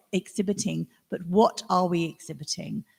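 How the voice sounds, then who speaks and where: Recorded dry and close with no echo, a woman speaks at a moderate pace with vocal fry. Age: 60s. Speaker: artist. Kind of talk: panel discussion.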